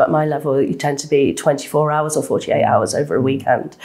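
At a moderate pace, a woman talks. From South East London. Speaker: neurosurgeon; guest. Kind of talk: interview. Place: studio.

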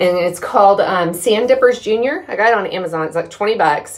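A woman at medium pitch and a fairly quick pace, with audible room echo. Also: ordinary pitch variation.

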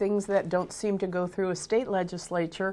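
At a moderate pace, a woman speaks. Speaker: guest. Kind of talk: interview answer. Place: studio.

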